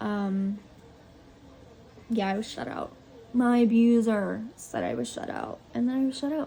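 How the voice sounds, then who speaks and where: A woman's fairly high voice at a fairly slow pace, fairly even in intonation, with long, frequent pauses and noticeable background noise. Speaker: vlogger sharing personal story. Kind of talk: personal vlog testimony. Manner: halting.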